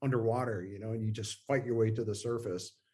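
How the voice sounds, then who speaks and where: A man speaks in a somewhat breathy voice. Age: 50s. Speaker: guest. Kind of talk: interview. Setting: video call. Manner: halting.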